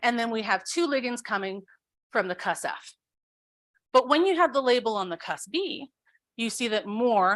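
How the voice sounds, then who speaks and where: Lively intonation broken by long, frequent pauses over a quiet background. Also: woman. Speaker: researcher. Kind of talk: lecture. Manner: fast.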